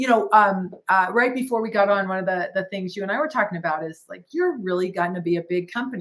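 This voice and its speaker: Speaking fairly quickly at a medium pitch, a woman uses an ordinary speaking voice with ordinary pitch variation. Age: 60s. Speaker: business owner and franchise founder. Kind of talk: podcast interview.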